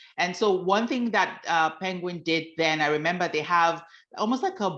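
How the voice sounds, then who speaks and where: A woman speaks in a Nigerian accent at a moderate pace, fairly low in pitch with ordinary pitch variation. The background is quiet. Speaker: author. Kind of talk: talk to a workshop audience.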